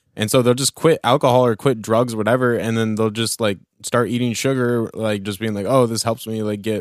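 Recorded very cleanly against a silent background, a man with an American accent and an unremarkable speaking voice talks at a fairly quick pace with medium pitch and fairly even intonation. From Oregon, US. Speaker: podcast co-host. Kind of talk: casual chat.

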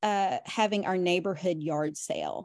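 In an American accent, a woman speaks at a fairly slow pace with ordinary pitch variation over a quiet background. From US South, Tennessee (Nashville). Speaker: reseller, former school teacher. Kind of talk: casual chat.

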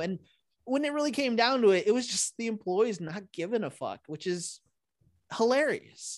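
Ordinary pitch variation marks this man's speech at a moderate pace. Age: 30s. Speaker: stand-up comedian and podcast host. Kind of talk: casual chat.

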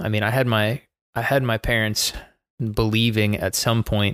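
A man's ordinary speaking voice, medium in pitch, at a moderate pace with fairly even intonation, dry and close with no echo, on a very clean recording against a silent background. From Baltimore, Maryland, US. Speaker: soccer head coach. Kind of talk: casual chat.

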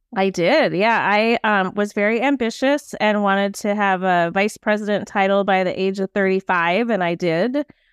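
A woman with a Minnesota accent speaks at a moderate pace with hardly any pauses. Her medium pitch shows ordinary pitch variation, and her loudness stays very even. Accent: Upper Midwest (Minnesota). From Saint Paul, Minnesota. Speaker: business leader, podcast co-host. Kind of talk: casual chat.

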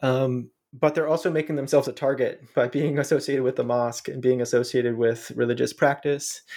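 With an American accent, a man at medium pitch speaks at a fairly quick pace, in a monotone, flat intonation and with hardly any pauses. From US Midwest, Ohio. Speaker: professor of international studies. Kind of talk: interview about his book. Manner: hesitant, many filler words.

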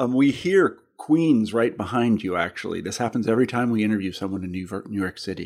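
A man with an American accent speaks at a medium pitch and a fairly quick pace, with hardly any pauses. His intonation is lively, in an unremarkable speaking voice. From Kansas. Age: 50s. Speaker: podcast host and editor. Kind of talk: interview. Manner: conversational, laughs often.

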